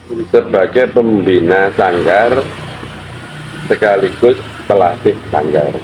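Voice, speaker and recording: A man with fairly low pitch and ordinary pitch variation, at a very slow pace with long, frequent pauses, over noticeable background noise. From Indonesia, Probolinggo, East Java. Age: 60s. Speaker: traditional arts teacher. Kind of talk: interview answers. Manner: hesitant, with fillers.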